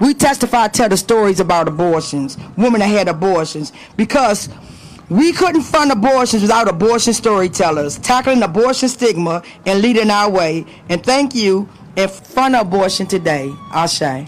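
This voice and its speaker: At a moderate pace, the voice has an animated tone and an American accent, with noticeable background noise. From Washington DC, Southeast. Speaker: nonprofit executive director, rally speaker. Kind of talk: rally speech. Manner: animated, loud, call-and-response.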